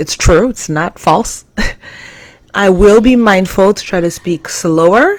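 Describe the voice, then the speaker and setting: A woman uses a normal speaking voice at a medium pitch. Her pitch variation is ordinary. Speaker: live stream host. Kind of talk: live stream talk.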